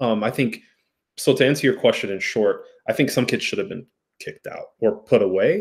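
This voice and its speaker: A man speaks at a fairly quick pace with big swings in loudness, set against a quiet background. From US, Ethiopian American. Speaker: therapist. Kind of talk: casual chat. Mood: reflective, thoughtful.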